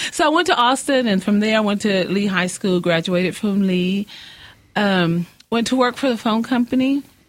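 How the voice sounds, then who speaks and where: Speaking at a moderate pace with very even loudness, a woman with a West Texas accent uses a medium pitch and ordinary pitch variation. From West Texas (Odessa/Midland). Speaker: president of a local political women's club. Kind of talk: casual interview.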